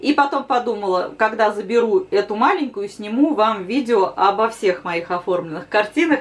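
Lively intonation from a woman at a moderate pace with hardly any pauses. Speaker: embroidery channel host. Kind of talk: casual vlog chat. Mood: slightly rueful then cheerful. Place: home room. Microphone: camera far.

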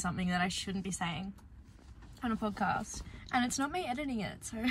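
A woman with an Australian accent, lively intonation and a fairly quick pace, in a dry sound with no echo and light background noise. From Australia, Dandenong Ranges, Victoria; Victoria, Australia. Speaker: artist and vlogger; vlogger. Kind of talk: casual vlog narration. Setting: studio.

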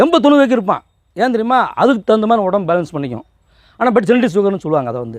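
High-pitched male speech full of very wide swings in pitch. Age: 40s. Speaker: naturopathy and yoga teacher. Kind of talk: health talk. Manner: casual.

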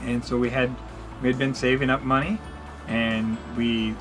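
A man talks with clear music in the background. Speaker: channel host. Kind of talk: casual vlog chat. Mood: encouraging, earnest. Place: home room. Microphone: camera far.

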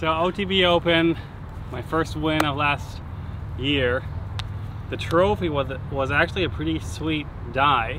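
Over noticeable background noise, a man speaks at a fairly slow pace with long, frequent pauses, in a dry sound with no echo. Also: ordinary pitch variation. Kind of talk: casual vlog chat. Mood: cheerful, joking. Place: open country.

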